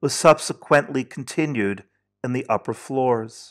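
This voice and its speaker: On a very clean recording with a silent background, a man with a normal speaking voice talks at a fairly slow pace, medium in pitch with ordinary pitch variation. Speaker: video essayist and narrator. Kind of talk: history documentary narration, first-person travelogue read in a solemn, measured tone. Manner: solemn; measured, deliberate, somber.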